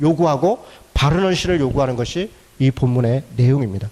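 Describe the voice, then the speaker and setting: This man has a dark, mellow tone, a fairly high pitch, and ordinary pitch variation. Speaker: pastor. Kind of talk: lecture. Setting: church. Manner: fast; animated.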